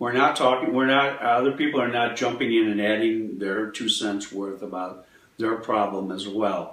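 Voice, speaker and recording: A man at a medium pitch and moderate pace, ordinary pitch variation, with audible room echo and noticeable background noise. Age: 70s. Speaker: healer. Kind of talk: interview.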